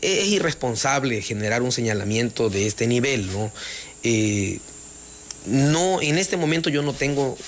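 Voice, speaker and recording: Spoken at a fairly slow pace with lively intonation, over noticeable background noise. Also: man. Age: 40s. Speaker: mayor-elect, lawyer. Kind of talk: radio interview. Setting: studio.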